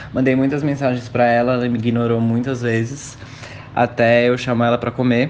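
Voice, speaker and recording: Against noticeable background noise, a man with a medium pitch talks at a fairly quick pace in a monotone, flat intonation. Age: 20s. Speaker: civil servant. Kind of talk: interview.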